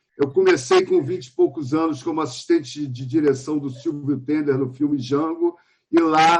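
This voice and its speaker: Male speech in an ordinary speaking voice, with ordinary pitch variation. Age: 60s. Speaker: film director and archive researcher. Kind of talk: panel talk at a film festival.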